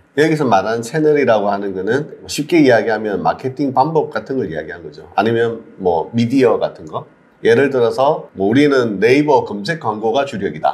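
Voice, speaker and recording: A man with a medium pitch talks at a fairly quick pace with hardly any pauses. His intonation is lively. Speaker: CEO of a digital marketing community. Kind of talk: mentoring talk to a job seeker.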